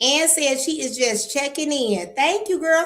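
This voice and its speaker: Audible room echo surrounds a woman with an American accent speaking at a high pitch in an animated tone. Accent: Detroit accent, others remark on it. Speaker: livestream host. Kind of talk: casual livestream chat.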